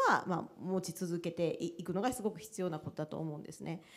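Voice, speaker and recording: A woman at a fairly quick pace. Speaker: university administrator; panelist. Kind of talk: panel discussion. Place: hall. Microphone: handheld.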